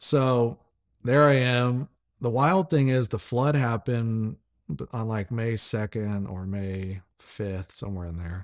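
Using lively intonation and big swings in loudness, a man with an American accent speaks at a very slow pace in a medium pitch, on a very clean recording with a silent background and a dry, close sound with no echo. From US South, Franklin, Tennessee. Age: 30s. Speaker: entrepreneur, company founder. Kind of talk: casual interview chat. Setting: host's living room.

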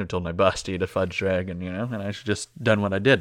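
Very fast speech from a man with an American accent and fairly even intonation. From US. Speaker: podcast co-host. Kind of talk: casual banter.

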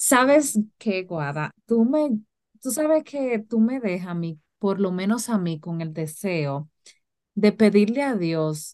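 Lively intonation marks this woman's medium-pitched voice. She speaks at a very slow pace. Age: 30s. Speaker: podcast host. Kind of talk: casual chat.

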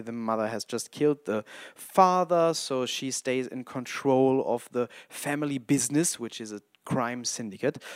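A man speaks at a moderate pace and medium pitch with ordinary pitch variation, recorded dry and close with no echo in a very clean recording with a silent background. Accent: German. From Germany. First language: German. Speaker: independent filmmaker and podcaster. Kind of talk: casual solo podcast monologue. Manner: halting, stumbles over words.

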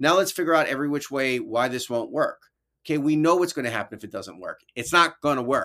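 In a New York accent, a man talks at a very fast pace with a fairly high pitch and ordinary pitch variation. His tone is bright and sharp. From New York (Brooklyn, then upstate Albany). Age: 50s. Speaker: educator and author. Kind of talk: casual interview.

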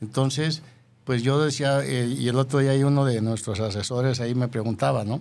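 At a moderate pace, a man of medium pitch talks in an ordinary speaking voice. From Jalisco, Mexico (rural Yahualica). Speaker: businessman. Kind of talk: interview.

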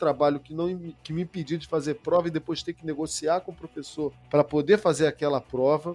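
A man talks at a fairly quick pace with fairly even intonation. The sound is dry and close with no echo, and music plays in the background. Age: 40s. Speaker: science communicator and researcher. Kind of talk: interview conversation.

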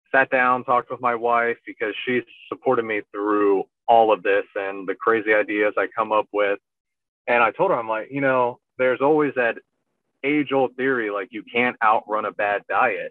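A man's ordinary speaking voice at a medium pitch, moderate pace and fairly even intonation. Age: 30s. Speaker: army officer and ultrarunner. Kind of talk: casual interview.

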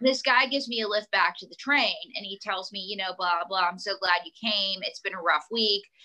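Her loudness swings widely as this woman talks fairly quickly with hardly any pauses and ordinary pitch variation. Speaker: ventriloquist and comedian. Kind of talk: casual chat. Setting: video or phone call. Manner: animated, joking.

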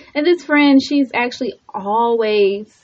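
Using a normal speaking voice, the woman keeps to a moderate speed. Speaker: radio host. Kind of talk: radio host patter. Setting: radio studio. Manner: chatty and warm.

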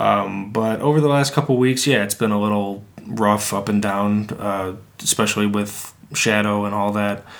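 A fairly low-pitched man with an unremarkable speaking voice and fairly even intonation. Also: moderate pace. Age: 20s. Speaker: podcast co-host. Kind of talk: casual chat.

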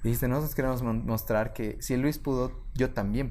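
An unremarkable speaking voice at a fairly quick pace, with ordinary pitch variation. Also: man. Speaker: life coach and podcaster. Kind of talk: interview conversation. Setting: studio.

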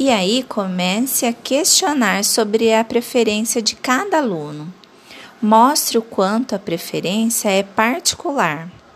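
Over noticeable background noise, a woman with a fairly high pitch speaks at a fairly slow pace with lively intonation and very even loudness. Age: 30s. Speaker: arts teacher. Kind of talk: tutorial. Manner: clear, instructional.

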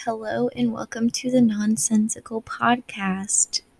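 Very slowly, a woman speaks at a fairly high pitch with ordinary pitch variation. Her voice is somewhat breathy, and the sound is dry and close with no echo. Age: 20s. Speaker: podcast host. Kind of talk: casual monologue.

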